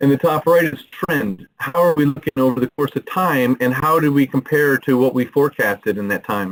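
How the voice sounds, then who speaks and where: A man at a fairly quick pace with hardly any pauses, fairly high in pitch with ordinary pitch variation, in a dry, close sound with no echo. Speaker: software product presenter. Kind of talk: product demo. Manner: fast; animated.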